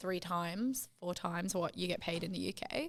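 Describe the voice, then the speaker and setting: A woman speaks with a British accent. Her pitch sits in the medium range. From England. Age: 20s. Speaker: artist. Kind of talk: casual chat. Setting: podcast.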